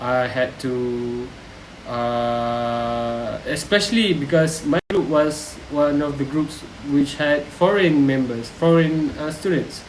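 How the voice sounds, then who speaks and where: A man with a Malaysian accent speaks very slowly at a fairly high pitch with ordinary pitch variation, amid audible room echo and noticeable background noise. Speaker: university student. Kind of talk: reflective vlog. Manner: hesitant, with frequent fillers.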